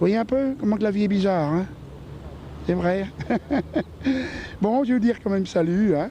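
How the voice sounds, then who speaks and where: A high-pitched man speaks at a moderate pace with long, frequent pauses, very even loudness and ordinary pitch variation, over noticeable background noise. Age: 60s. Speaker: retired passer-by in street interview. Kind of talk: vox pop street interview. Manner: hesitant, many fillers.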